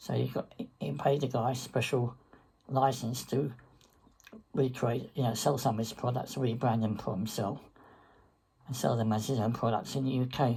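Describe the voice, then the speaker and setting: The speaker has an English accent and talks at a moderate pace. Long pauses come often. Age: 70s. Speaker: online business vlogger. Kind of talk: casual monologue. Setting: recorded face-to-camera video. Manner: halting.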